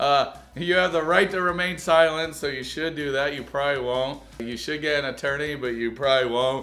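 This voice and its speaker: Bright and sharp in tone, a man with a fairly high voice speaks at a moderate pace with ordinary pitch variation and hardly any pauses. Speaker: YouTube reaction commentator. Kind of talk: comedic video reaction commentary. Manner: stutters over words sometimes; sarcastic, joking.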